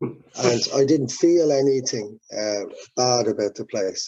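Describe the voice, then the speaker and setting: A man talks at a very slow pace. He speaks with an Irish accent. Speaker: musician. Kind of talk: interview. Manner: halting.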